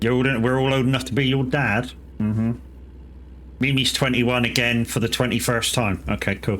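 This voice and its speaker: Delivered at a fairly quick pace in a British accent, the speech keeps very even loudness and fairly even intonation. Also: man, medium pitch for a man. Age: 40s. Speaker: gaming streamer. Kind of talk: casual chat. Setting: live stream.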